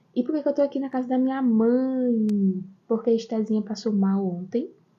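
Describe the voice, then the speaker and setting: This woman is soft-spoken. Her voice is somewhat breathy. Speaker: online course teacher. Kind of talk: live stream lesson. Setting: outdoors in backyard. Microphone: quiet sound.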